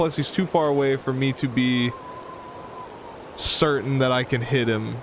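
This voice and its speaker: A man at a fairly high pitch and moderate pace, with noticeable background noise. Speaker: gaming streamer. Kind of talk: live game commentary. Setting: live stream. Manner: casual, conversational.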